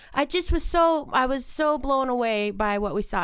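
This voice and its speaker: A woman speaks loudly at a high pitch, her voice leaping through very wide pitch swings. The recording is very clean with a silent background. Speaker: podcast co-host. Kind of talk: casual chat. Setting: studio.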